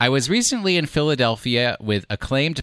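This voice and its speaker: The recording is very clean, with a silent background. A man with an American accent speaks at a moderate pace with lively intonation. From US, New York. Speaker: podcast co-host. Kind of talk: casual chat.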